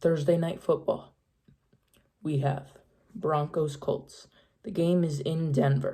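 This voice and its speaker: A woman speaks at a very slow pace with long, frequent pauses, her voice fairly low, somewhat breathy, and dark and mellow in tone. Her intonation stays fairly even. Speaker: sports YouTuber. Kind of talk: NFL picks commentary. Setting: at home, late night. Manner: quiet.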